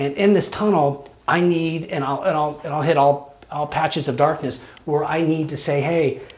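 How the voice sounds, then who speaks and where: Over noticeable background noise, a man with a fairly high pitch talks at a moderate pace with fairly even intonation and hardly any pauses. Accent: American. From Kansas. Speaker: mission resident. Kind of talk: interview testimony. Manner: halting, many fillers.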